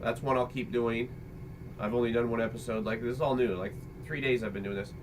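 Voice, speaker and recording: A man talks very fast with fairly even intonation over noticeable background noise. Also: medium pitch for a man. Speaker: father and video creator. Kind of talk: casual chat. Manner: loud. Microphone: computer microphone, poor quality.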